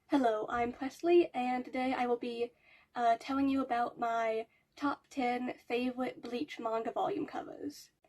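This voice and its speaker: At a high pitch with ordinary pitch variation, a woman speaks at a moderate pace in a dry, close sound with no echo. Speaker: youtuber. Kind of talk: casual commentary video.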